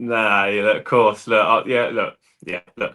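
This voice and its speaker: A man's medium-pitched voice, bright and sharp in tone, at a very fast pace. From southern England (Eastbourne, Sussex). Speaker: football manager and bricklayer. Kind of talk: casual chat.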